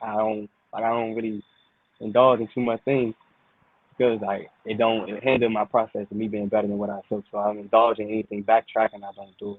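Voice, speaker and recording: A monotone, flat delivery with an American accent. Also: man, fairly low pitch for a man. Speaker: rap artist. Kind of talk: interview. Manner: even, calm level tone; halting.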